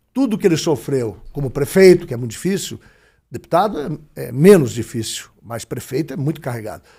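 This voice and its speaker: On a very clean recording with a silent background, a man with a fairly high pitch and a dark, mellow, somewhat breathy tone speaks at a moderate pace, with very wide pitch swings and big swings in loudness. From Brazil, Paraná (Ponta Grossa). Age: 60s. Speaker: politician and broadcaster. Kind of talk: interview.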